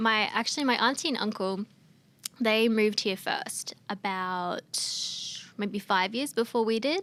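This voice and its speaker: At a fairly slow pace and with fairly even intonation, the speaker talks in an Australian accent in a very clean recording with a silent background. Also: woman. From Australia (Queensland). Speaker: singer-songwriter. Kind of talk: interview chat. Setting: studio. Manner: casual, many fillers.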